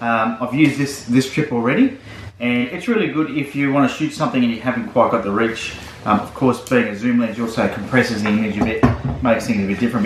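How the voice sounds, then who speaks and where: A man talks very fast with ordinary pitch variation over noticeable background noise. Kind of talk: casual gear walkthrough vlog. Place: home room. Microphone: camera far.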